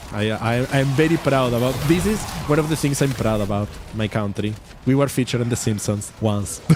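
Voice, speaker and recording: Speaking at a fairly quick pace, a man talks in a Spanish accent. Noticeable background noise is present. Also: medium pitch for a man, ordinary pitch variation. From Uruguay. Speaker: vtuber streamer. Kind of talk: casual game stream chat. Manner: halting, repeats words.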